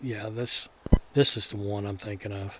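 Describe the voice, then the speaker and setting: A man with a Kentucky accent, relaxed in tone, monotone and flat, at a fairly quick pace amid noticeable background noise. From Kentucky, US South. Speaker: 3D animation creator. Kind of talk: video commentary. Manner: relaxed, with fillers and restarts.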